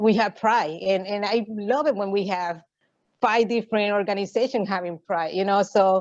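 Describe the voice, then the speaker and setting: At a moderate pace, a woman with a medium pitch speaks with fairly even intonation. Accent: Puerto Rican. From Puerto Rico. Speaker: LGBTQ activist. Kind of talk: interview. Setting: video call. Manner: halting, many fillers.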